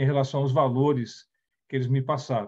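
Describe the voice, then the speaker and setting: Somewhat breathy and fairly high in pitch, a man speaks at a moderate pace with fairly even intonation over a quiet background. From Brazil, raised partly in the Netherlands. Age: 60s. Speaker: company CEO, speaker on diversity. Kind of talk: talk / presentation with slides. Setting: online event. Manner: halting, with self-corrections.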